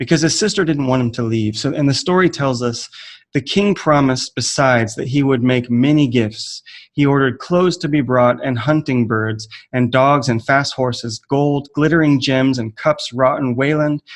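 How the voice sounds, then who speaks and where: The speaker has a normal speaking voice and an American accent. The pace is moderate, with ordinary pitch variation. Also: man. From United States. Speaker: writer and teacher. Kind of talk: conference presentation. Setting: online video call.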